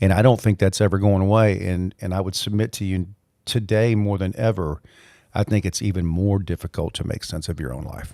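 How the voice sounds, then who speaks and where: A man with a Mobile, Alabama accent speaks fairly quickly at a fairly low pitch, with fairly even intonation and a dark, mellow tone, on a very clean recording with a silent background and a dry, close sound with no echo. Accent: Southern US (Mobile, Alabama). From US South, Mobile, Alabama. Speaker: leadership coach and professor. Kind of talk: podcast interview.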